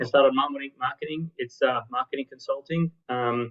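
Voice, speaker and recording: This voice belongs to a man. An Australian accent comes through as he talks. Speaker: marketing consultant. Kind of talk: interview. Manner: fast.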